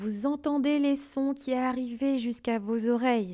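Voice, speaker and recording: A woman's dark, mellow, soothing tone with ordinary pitch variation, on a very clean recording with a silent background. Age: 30s. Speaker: career change coach and podcast host. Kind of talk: guided visualization. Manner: slow and soothing.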